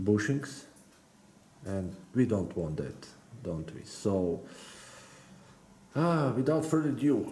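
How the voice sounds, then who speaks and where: There is a man with a dark, mellow tone whose pitch swings very widely. He speaks at a very slow pace amid audible room echo. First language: not English. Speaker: RC car hobbyist YouTuber. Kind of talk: build tutorial. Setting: workbench. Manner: halting, many hesitations and repeated words.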